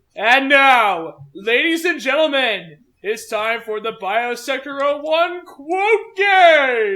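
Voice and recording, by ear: In a put-on character voice, the speaker talks very slowly at a high pitch with hardly any pauses, in a very clean recording with a silent background.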